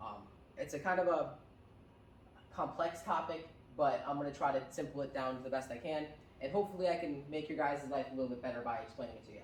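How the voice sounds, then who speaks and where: A man with an American accent, fairly high in pitch with ordinary pitch variation, at a very fast pace broken by long, frequent pauses, amid noticeable background noise and audible room echo. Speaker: tech business founder, presenter. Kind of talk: presentation to seniors. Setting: room with live audience. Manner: hesitant, many fillers.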